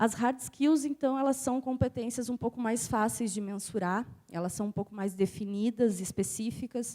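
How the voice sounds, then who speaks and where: A dark, mellow tone with ordinary pitch variation and hardly any pauses, in a dry, close sound with no echo. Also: woman, fairly high pitch for a woman, moderate pace. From southern Brazil, Passo Fundo (Rio Grande do Sul). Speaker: university professor, conference speaker. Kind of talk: conference talk. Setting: stage with audience, microphone.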